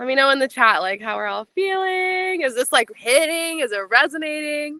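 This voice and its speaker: Raising and projecting her high voice, a woman speaks in an animated tone with lively intonation, and the sound is dry and close with no echo. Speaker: business coach. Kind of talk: live online masterclass. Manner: fast.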